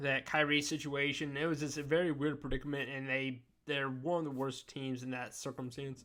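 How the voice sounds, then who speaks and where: Over music in the background, a man with a fairly high pitch speaks at a moderate pace in a monotone, flat intonation. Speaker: NBA commentary YouTuber. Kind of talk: casual sports talk monologue. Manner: loud.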